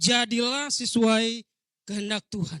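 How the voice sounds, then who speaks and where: A man with an East Nusa Tenggara accent uses a raised, projected voice with a high pitch and a bright, sharp tone, speaking at a moderate pace in a dry, close sound with no echo. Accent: eastern Indonesian (Rote). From Rote Island, East Nusa Tenggara, Indonesia. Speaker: pastor. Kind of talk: sermon. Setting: church.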